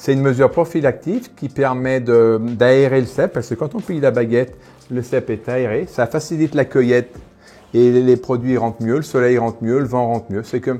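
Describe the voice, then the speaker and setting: A man speaks at a medium pitch and a moderate pace. His tone is dark and mellow. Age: 60s. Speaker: winegrower. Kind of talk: casual interview during wine tasting. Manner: animated.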